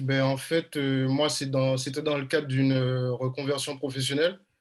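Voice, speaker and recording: Here a man talks at a fairly slow pace and medium pitch. His intonation is monotone and flat. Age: 30s. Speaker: professional basketball player. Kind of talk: video call interview. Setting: video call. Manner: hesitant.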